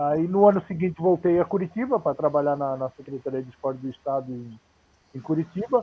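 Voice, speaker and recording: This man's voice is fairly high, with lively intonation. He moves at a fairly quick pace, and his loudness swings widely. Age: 60s. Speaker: former footballer and coach. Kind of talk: interview on a live stream. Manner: halting, many repetitions.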